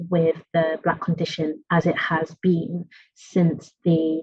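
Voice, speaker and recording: In an East Midlands accent, a woman speaks at a fairly low pitch, somewhat breathy, with monotone, flat intonation. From England, East Midlands (Nottingham). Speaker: academic researcher. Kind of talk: academic lecture. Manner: halting.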